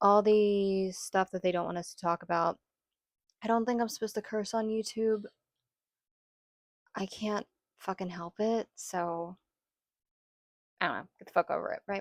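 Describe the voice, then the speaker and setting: Her loudness swings widely as a woman speaks at a moderate pace in a medium-pitched voice with fairly even intonation. The sound is dry and close with no echo, and she leaves long, frequent pauses. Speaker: spiritual content creator. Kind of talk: casual monologue.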